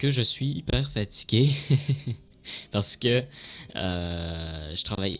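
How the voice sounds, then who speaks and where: A man's fairly low-pitched voice with lively intonation. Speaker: gaming streamer. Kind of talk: casual vlog. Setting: at home at night, dark room. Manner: halting, many hesitations; quiet to avoid disturbing others.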